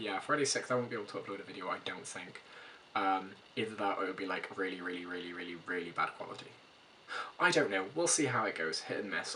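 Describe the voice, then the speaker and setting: Very fast and fairly low in pitch, a man speaks with ordinary pitch variation over noticeable background noise. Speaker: vlogger. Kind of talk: casual vlog.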